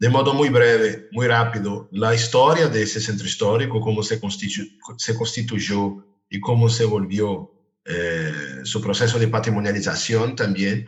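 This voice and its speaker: With a Brazilian accent, a man speaks in a somewhat breathy voice with ordinary pitch variation. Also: medium pitch for a man, fairly slow pace. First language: Portuguese (speaking Spanish). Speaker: architecture professor. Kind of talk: lecture.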